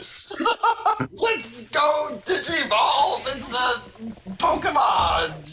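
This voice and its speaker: A man's put-on character voice at an extremely high pitch and a very slow pace. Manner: excited, shouting.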